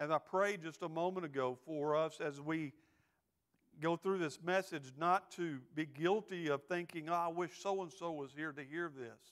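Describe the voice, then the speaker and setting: Against a quiet background, a man with a Texan accent talks at a moderate pace with fairly even intonation. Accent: Texan, Southern. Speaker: associate pastor. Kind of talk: sermon. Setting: church. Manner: earnest, exhortative preaching, with filler words and repeats; pleading, direct, with calls for amens. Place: church. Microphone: lapel.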